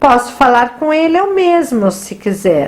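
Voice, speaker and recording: Putting on a whiny, squeaky character voice, a woman speaks at a high pitch with very wide pitch swings. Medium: read story. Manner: whiny, sulky.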